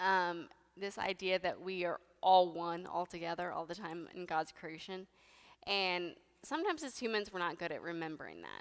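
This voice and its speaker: Recorded very cleanly against a silent background, a woman with a fairly low pitch talks at a moderate pace with fairly even intonation. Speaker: preacher. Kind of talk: sermon.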